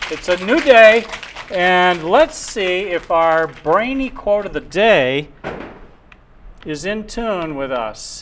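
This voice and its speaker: Against noticeable background noise, a man with a high pitch speaks very slowly, with very wide pitch swings and long, frequent pauses. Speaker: community TV host. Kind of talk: casual chat. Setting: studio. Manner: halting.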